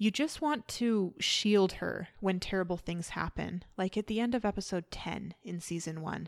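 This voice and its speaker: Animated in tone, a woman talks at a medium pitch with ordinary pitch variation. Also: moderate pace, hardly any pauses. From Canada. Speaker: podcast host. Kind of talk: solo podcast commentary, partly scripted.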